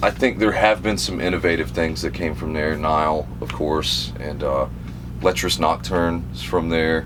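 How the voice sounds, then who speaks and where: A man with a South Carolina accent speaks at a moderate pace in a very deep, low voice, his intonation lively. Noticeable background noise runs underneath. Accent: Southern US (South Carolina). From South Carolina, upstate. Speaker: death metal guitarist and vocalist. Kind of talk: casual interview. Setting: on tour bus.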